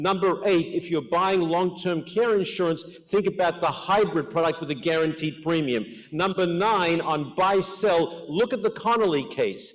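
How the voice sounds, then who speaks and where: There is noticeable background noise as a man talks at a moderate pace with an American accent. His pitch is high. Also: ordinary pitch variation. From Australia (Melbourne). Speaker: life insurance and financial planning expert, conference speaker. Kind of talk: conference presentation. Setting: conference hall with audience.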